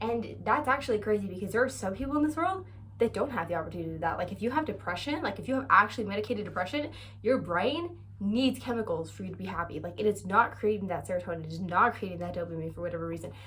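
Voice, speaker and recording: A woman talks in an animated tone at a very fast pace, with audible room echo. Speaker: vlogger. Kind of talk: casual chat.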